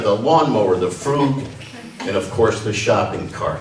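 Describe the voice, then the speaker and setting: With lively intonation, a man talks at a moderate pace and medium pitch, with audible room echo and noticeable background noise. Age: 60s. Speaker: retiree, memorial speaker. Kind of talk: reading aloud a comic piece.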